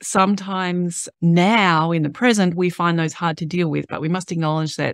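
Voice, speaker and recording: The speech moves at a moderate pace. The sound is dry with no echo, over a quiet background. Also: woman. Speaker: podcast host. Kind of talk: podcast introduction talk.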